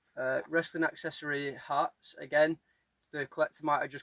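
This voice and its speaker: With a northern English accent, a man talks at a fairly quick pace in a monotone, flat intonation. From northern England. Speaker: collectibles reseller. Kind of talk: casual vlog narration. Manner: casual, some repetitions.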